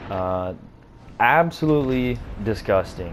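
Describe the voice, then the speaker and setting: The voice has an American accent, and the room echo is audible. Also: man. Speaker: gaming YouTuber. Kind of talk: gameplay commentary. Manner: casual, hesitant with fillers.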